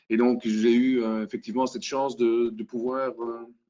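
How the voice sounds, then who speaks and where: A man talks at a medium pitch. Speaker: hackathon facilitator. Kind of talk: web conference presentation. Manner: halting, many fillers.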